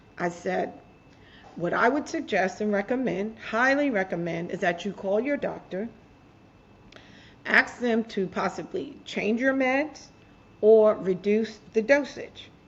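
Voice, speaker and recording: Somewhat breathy and fairly high-pitched, a woman speaks fairly slowly with long, frequent pauses. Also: lively intonation. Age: 60s. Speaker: author and mental health advocate. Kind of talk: interview storytelling. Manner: animated.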